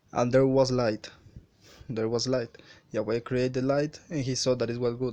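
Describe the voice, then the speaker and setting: At a moderate pace, a man with a Spanish accent speaks in a dark, mellow tone. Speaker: religious video maker. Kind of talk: bible commentary. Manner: halting.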